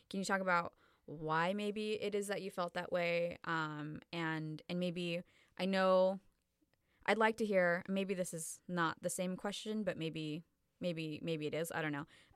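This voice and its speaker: This woman has an ordinary speaking voice and a fairly slow pace. The recording is very clean with a silent background and a dry, close sound with no echo. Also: fairly low pitch for a woman, fairly even intonation. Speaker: podcast host. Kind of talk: casual interview.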